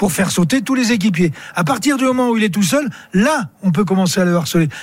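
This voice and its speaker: Lively intonation marks this man's speech. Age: old. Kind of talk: live radio sports talk.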